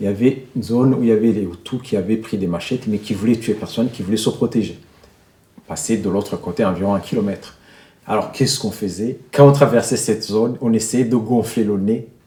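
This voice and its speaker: A man's somewhat breathy, dark, mellow voice at medium pitch, fairly quick pace, with long, frequent pauses. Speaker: humanitarian worker and journalist. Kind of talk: casual explanation.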